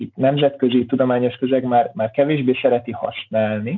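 A man's voice with ordinary pitch variation, at a moderate pace. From Hungary, Pécs. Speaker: university lecturer. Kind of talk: casual interview. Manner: halting, many repetitions.

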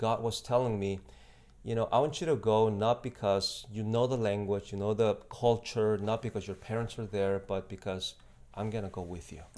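A man talks at medium pitch in a Spanish accent. The recording is very clean, with a silent background. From Mexico. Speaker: missionary. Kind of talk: casual interview. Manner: polite, formal (yes, sir).

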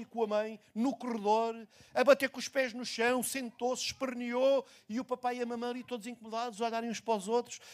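Speaking at a fairly quick pace, a man with an extremely high pitch keeps his intonation monotone and flat. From Portugal. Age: 60s. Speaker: pastor. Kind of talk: sermon. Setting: church.

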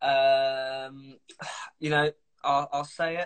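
A man speaks with a southern English accent and a fairly high pitch. The sound is dry and close, with no echo. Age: 20s. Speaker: musician. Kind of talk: casual chat. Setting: video call.

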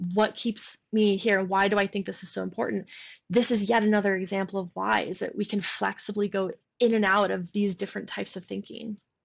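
At a fairly quick pace, a woman speaks in a medium pitch with monotone, flat intonation. The background is quiet. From Michigan. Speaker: software developer and product manager. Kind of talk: casual chat. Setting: video call.

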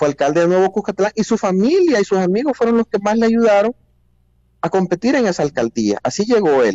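His intonation is lively and his pitch is high. The man's loudness stays very even throughout. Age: 40s. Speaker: politician. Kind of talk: interview.

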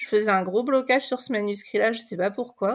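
This is an unremarkable speaking voice, a woman's, fairly high in pitch with ordinary pitch variation. The recording is very clean, the background silent. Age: 40s. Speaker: novelist. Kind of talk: podcast interview.

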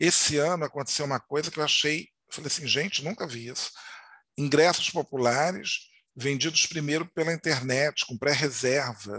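The tone is bright and sharp, with ordinary pitch variation at a moderate pace. The sound is dry and close, with no echo. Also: man. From Rio de Janeiro, Madureira. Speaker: podcast host. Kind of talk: casual interview chat.

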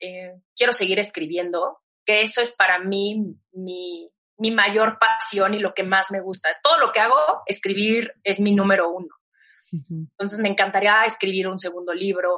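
At a fairly slow pace, a woman speaks with a medium pitch and fairly even intonation. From Mexico. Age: 30s. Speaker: digital media entrepreneur and author. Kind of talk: interview conversation.

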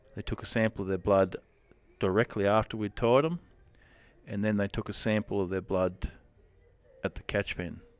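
With an Australian accent, a man talks at a moderate pace and fairly low pitch, leaving long, frequent pauses. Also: ordinary pitch variation, dry, close sound with no echo. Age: 40s. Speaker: rodeo cowboy. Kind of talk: casual interview. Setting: at a rodeo event.

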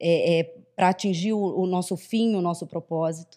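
The voice belongs to a woman. It is pitched in her middle range. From Rio de Janeiro, Brazil. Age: 40s. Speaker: HR executive. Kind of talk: podcast interview. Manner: hesitant, many fillers.

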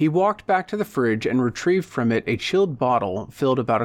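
With a normal speaking voice, a man talks at a fairly quick pace in a medium pitch, his intonation lively. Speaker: audiobook narrator and podcast host. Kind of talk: literary audiobook reading, narrating prose and dialogue.

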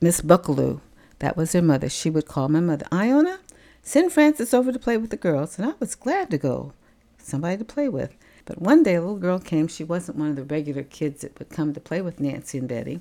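Delivered at a fairly quick pace with an American accent, the voice has a dark, mellow tone, very wide pitch swings and big swings in loudness. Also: woman, fairly low pitch for a woman. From US South, Tampa, Florida. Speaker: grandmother sharing life story. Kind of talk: life story interview.

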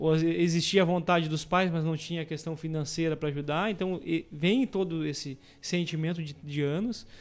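At a moderate pace, a man with a fairly high pitch talks with fairly even intonation. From Camaquã, Rio Grande do Sul, Brazil. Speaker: entrepreneur. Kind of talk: radio interview. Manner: halting.

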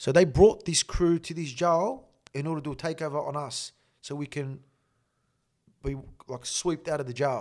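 Speaking with an Australian accent, a man with a fairly high voice keeps a fairly even intonation, with long, frequent pauses and big swings in loudness, on a very clean recording with a silent background. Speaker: former convicted criminal telling his story. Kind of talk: casual storytelling interview. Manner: fast.

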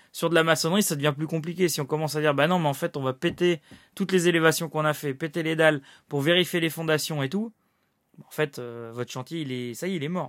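On a very clean recording with a silent background, a man talks very fast in a fairly high pitch with ordinary pitch variation. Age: 30s. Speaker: building project manager and podcast host. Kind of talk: solo podcast talk. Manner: hesitant, many fillers.

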